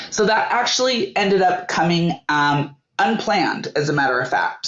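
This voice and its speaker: Music plays in the background. Over it, a woman talks with an American accent. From Northern California. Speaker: entrepreneur. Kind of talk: interview. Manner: halting.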